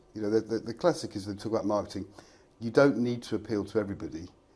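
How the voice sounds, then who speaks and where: Very fast speech from a man with an English accent, fairly low in pitch, with a dark, mellow tone. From England, Reading. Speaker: fractional finance director. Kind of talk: casual interview chat.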